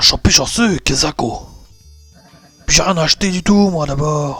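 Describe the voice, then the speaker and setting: Putting on a character voice at a fairly high pitch, a man speaks at a moderate pace with faint music in the background. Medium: virtual streamer. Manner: blustering, irritable.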